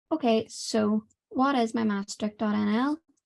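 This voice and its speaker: The woman's voice is quiet and fairly high in pitch. The sound is dry and close, with no echo. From Ireland. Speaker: student presenter. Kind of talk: webinar presentation. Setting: online webinar.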